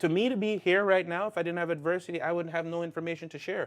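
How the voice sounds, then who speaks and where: A man is speaking. His voice sits high in pitch. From Canada. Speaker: life coach and speaker. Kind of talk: interview.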